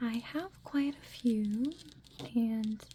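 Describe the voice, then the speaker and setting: Soft-spoken, a woman talks in a gentle tone at a high pitch. Her pitch varies in an ordinary way. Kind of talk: ASMR soft-spoken manga recommendation and reading. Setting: close-mic ear-to-ear ASMR recording. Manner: soft-spoken, gentle, friendly.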